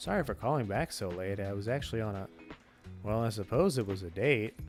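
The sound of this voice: Using a put-on character voice, a man speaks breathily at a fairly quick pace and a fairly low pitch, with clear music in the background.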